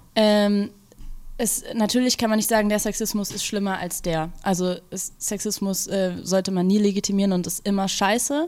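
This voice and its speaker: Her intonation fairly even, a woman talks at a moderate pace with a medium pitch. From Berlin, Kreuzberg. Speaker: music journalist. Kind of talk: interview. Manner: hesitant, many filler sounds.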